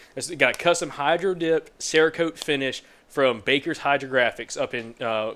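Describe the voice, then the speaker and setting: Here a man with a Southern US accent talks at a moderate pace, his pitch varying in an ordinary way. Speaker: hunting podcast host. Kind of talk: casual chat. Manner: animated.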